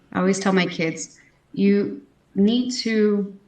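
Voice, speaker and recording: Audible room echo surrounds this speaker with an American accent. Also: woman. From Texas. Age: 30s. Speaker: pageant titleholder and houseparent. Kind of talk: interview.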